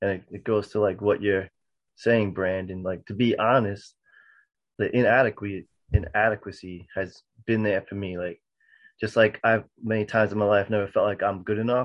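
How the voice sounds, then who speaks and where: A man speaks at a fairly low pitch and a moderate pace. His intonation is monotone and flat. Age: 40s. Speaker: roundtable participant. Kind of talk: casual roundtable discussion. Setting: video call.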